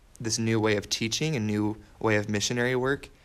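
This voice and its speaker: At a medium pitch, a man speaks with an American accent. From Washington state, US. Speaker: missionary. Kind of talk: casual interview.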